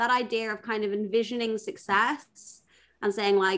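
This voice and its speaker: The voice carries a strong British accent. Its pitch varies in an ordinary way. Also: woman. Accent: thick British. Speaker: product manager and conference speaker. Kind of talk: casual chat.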